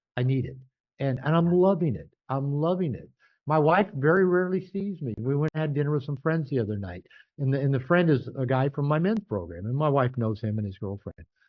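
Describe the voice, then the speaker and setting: Fairly high in pitch, a man talks at a fairly quick pace with lively intonation. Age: 60s. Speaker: author and men's coach. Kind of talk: interview. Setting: call. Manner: animated.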